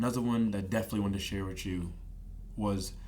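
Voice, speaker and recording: In a room with audible echo, a man with a fairly low voice speaks very fast. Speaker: podcast guest sharing faith and dreams. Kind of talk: casual interview conversation. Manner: animated.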